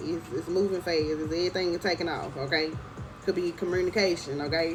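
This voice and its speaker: Music plays in the background as a woman speaks at medium pitch. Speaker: tarot reader. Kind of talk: tarot reading. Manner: casual, repeats okay.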